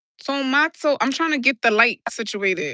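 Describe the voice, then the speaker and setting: A bright, sharp-toned woman in a New York accent, with lively intonation at a fairly slow pace, in a dry, close sound with no echo and a quiet background. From New York City (Brooklyn/South Bronx). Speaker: livestreamer. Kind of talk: casual livestream chat. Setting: outdoors on a rooftop.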